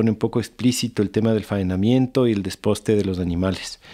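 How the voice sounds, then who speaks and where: A man's dark, mellow voice at a fairly quick pace. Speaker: podcast host. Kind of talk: podcast interview.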